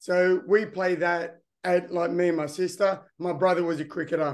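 A man talks at a moderate pace in an Australian accent. His pitch is high, and the background is quiet. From Australia, New South Wales. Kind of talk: interview conversation.

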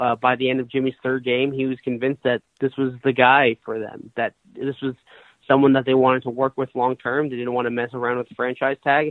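At a very fast pace, a man with an American accent speaks with medium pitch in a monotone, flat intonation. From Massachusetts, Brookline (Boston area). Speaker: sports writer. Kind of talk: interview.

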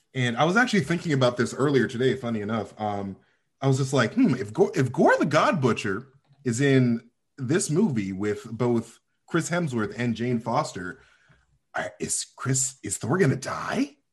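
This man talks at a moderate pace in a medium pitch, his voice somewhat breathy. His intonation is lively. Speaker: podcaster. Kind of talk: casual chat.

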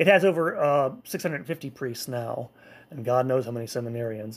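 Over a silent background on a very clean recording, a man with a plain, everyday voice and fairly high pitch talks at a moderate pace with lively intonation. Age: 40s. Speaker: podcast host, church history. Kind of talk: history lecture. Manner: frequent filler words and restarts.

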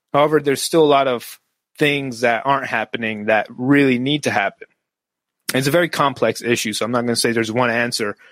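A man with an American accent at a very fast pace, medium in pitch, with ordinary pitch variation and a dry, close sound with no echo. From US West, Las Vegas, Nevada. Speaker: Navy veteran and coach. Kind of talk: interview.

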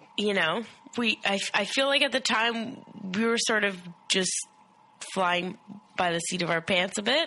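Against noticeable background noise, a woman with a medium-pitched voice speaks at a fairly slow pace with lively intonation and long, frequent pauses. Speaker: co-host friend. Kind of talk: casual chat.

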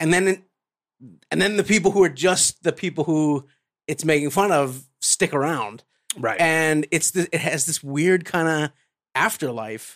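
A man with a normal speaking voice talks at a fairly slow pace with ordinary pitch variation. The sound is dry and close with no echo. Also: fairly high pitch for a man. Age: 30s. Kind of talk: casual chat.

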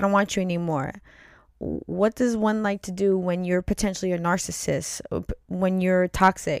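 A woman with an ordinary speaking voice, at medium pitch and fairly even intonation, speaks at a moderate pace in a dry, close sound with no echo. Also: very clean recording, silent background. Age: 40s. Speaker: podcast co-host. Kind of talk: casual chat.

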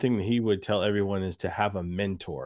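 Here a man speaks at a fairly low pitch. He keeps a moderate pace. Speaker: podcast host. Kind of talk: casual interview. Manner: animated, energetic.

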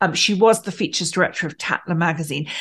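A woman's normal speaking voice, medium in pitch, with lively intonation. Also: quiet background. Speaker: co-host.

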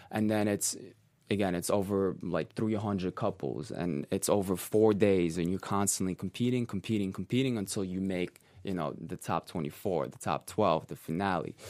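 Spoken at a moderate pace with a Russian accent, the voice comes through on a very clean recording with a silent background. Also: man, very deep, low pitch for a man, ordinary pitch variation. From Russia (Siberia), raised partly in New York. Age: 20s. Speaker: professional dancer. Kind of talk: interview. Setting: studio.

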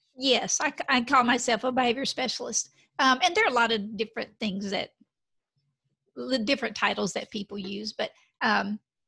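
A woman with a slight Texan accent speaks at a fairly quick pace. Her voice is fairly high, bright and sharp, with ordinary pitch variation. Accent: slight Texas Southern. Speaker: behavior specialist. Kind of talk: interview. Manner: animated.

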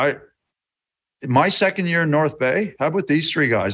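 Man with a Newfoundland accent, bright and sharp in tone, fairly high in pitch, at a moderate pace with ordinary pitch variation. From rural Newfoundland, Canada. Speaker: hockey trainer, former player. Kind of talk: casual interview chat. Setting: video call.

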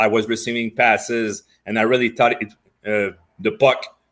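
A moderate pace and fairly even intonation on a very clean recording with a silent background. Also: man. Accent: French. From Quebec, Montreal. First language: French. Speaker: retired hockey player. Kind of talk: interview. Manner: halting.

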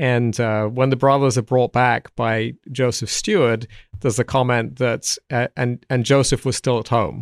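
A man with an American accent at medium pitch, fairly even intonation and a moderate pace, in a very clean recording with a silent background and a dry, close sound with no echo. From south England. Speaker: Old Testament professor and commentary author. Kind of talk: interview conversation. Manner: hesitant, repeats words.

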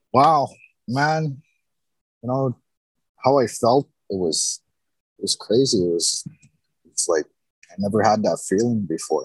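The speech has long, frequent pauses, and the sound is dry and close with no echo. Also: man. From Winnipeg, Manitoba, Canada. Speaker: former offender turned construction supervisor. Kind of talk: interview testimony. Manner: halting, with fillers.

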